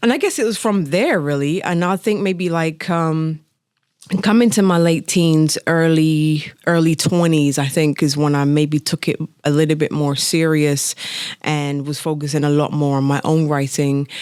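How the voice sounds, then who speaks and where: A woman speaks with a very deep, low pitch. Her loudness stays very even throughout. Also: ordinary pitch variation, moderate pace. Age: 30s. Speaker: singer-songwriter. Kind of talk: interview. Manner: casual, animated.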